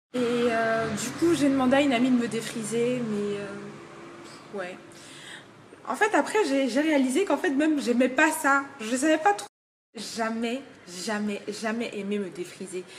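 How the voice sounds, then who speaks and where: A woman with a high-pitched voice talks at a fairly slow pace, her intonation lively. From Togo. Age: 20s. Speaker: hair shop worker and student. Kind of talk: casual vlog. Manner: hesitant, many fillers.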